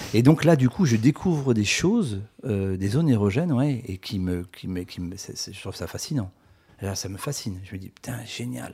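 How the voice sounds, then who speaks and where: A man's somewhat breathy voice with a dark, mellow tone and big swings in loudness. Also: medium pitch for a man, lively intonation, moderate pace. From rural France. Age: 50s. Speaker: author. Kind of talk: casual interview. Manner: halting, many repetitions.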